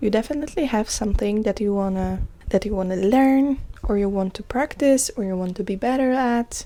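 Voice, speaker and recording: A woman speaks with a Polish accent and a fairly high pitch. Her tone is dark and mellow. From Poland. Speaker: podcast host. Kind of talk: casual self-care podcast monologue.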